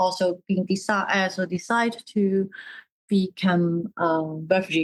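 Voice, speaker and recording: A woman speaks with a Cantonese accent. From Hong Kong. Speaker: artist and dissident in exile. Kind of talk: interview. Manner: halting.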